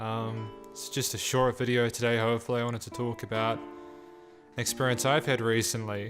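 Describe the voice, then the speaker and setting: Over music in the background, a man talks at a moderate pace with hardly any pauses. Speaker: PC hardware youtuber. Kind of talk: casual talk to camera.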